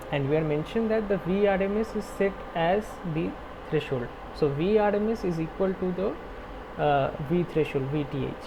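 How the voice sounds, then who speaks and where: A high-pitched man's voice at a moderate pace, with ordinary pitch variation and noticeable background noise. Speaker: teaching assistant. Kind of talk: online tutorial problem-solving session.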